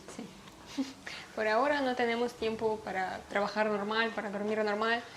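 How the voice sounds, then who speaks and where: Someone with a Russian accent speaks at a moderate pace in a monotone, flat intonation, with audible room echo and noticeable background noise. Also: woman, fairly high pitch for a woman. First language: Russian (speaking Spanish). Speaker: YouTuber. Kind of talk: casual chat.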